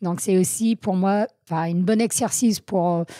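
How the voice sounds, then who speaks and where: Speaking at a fairly slow pace with a slight American accent, a woman with a medium pitch and a dark, mellow tone uses lively intonation, and the sound is dry and close with no echo. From US Northeast, Vermont. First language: English (speaking French). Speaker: trail runner. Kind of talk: interview. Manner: hesitant, many fillers.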